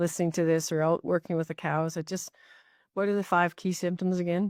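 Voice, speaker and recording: The delivery is monotone and flat at a fairly quick pace, in a very clean recording with a silent background and a dry, close sound with no echo. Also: woman, fairly low pitch for a woman. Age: 60s. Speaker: podcast host. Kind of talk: podcast interview.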